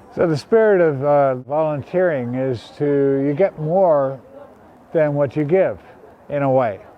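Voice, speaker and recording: An ordinary speaking voice at a fairly slow pace, with ordinary pitch variation. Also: man, fairly high pitch for a man. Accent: American. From United States. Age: 60s. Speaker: retired street volunteer. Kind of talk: interview.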